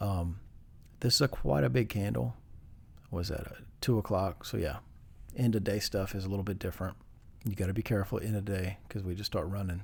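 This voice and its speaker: Over a very clean recording with a silent background, a man with a fairly low pitch and vocal fry talks with ordinary pitch variation and long, frequent pauses. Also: fairly quick pace. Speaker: day trader. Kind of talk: tutorial. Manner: casual, with fillers.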